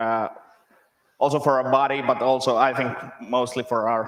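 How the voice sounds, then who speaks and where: A man with a Finnish accent speaks at a medium pitch and a fairly slow pace. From Finland. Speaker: software developer, conference speaker. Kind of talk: conference talk. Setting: stage with audience.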